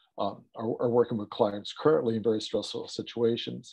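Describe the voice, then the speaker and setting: Dark and mellow in tone, a man with an American accent talks at a medium pitch and a moderate pace. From United States. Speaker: psychotherapist. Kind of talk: webinar talk.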